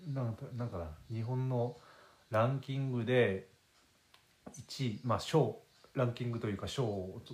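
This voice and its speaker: In a relaxed tone, a man talks at a moderate pace, his medium pitch showing ordinary pitch variation. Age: 30s. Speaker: podcast host, guesthouse owner. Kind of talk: casual solo monologue. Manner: relaxed, rambling with many fillers.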